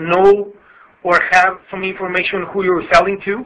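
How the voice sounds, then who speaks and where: A man's high, raised and projected voice with a Spanish accent, at a moderate pace. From Mexico. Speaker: customs broker. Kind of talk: webinar presentation. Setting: conference call. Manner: halting.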